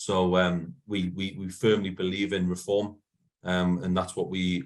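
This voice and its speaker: Recorded very cleanly against a silent background, a man speaks with a very deep, low pitch in a Geordie accent. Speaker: football supporters' organisation manager. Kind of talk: meeting talk. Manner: hesitant, many fillers.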